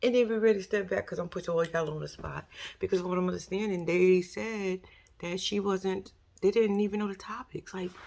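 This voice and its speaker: With a New York accent, a woman speaks in an animated tone at a fairly quick pace and a medium pitch. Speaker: YouTuber commentator. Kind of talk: casual commentary monologue.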